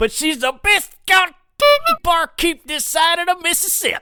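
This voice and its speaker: Moderate pace and extremely high pitch in a put-on character voice. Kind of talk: mock old-timey.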